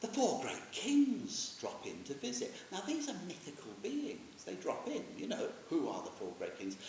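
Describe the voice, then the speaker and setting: The speaker, with a British accent, keeps a moderate pace and hardly pauses at all. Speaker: Buddhist teacher. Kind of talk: informal dharma talk. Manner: animated.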